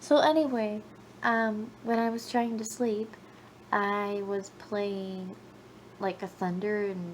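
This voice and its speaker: A woman talks at a fairly high pitch, and her voice is somewhat breathy. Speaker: vlogger. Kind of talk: casual late-night vlog monologue. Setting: at home in kitchen at midnight. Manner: rambling, halting.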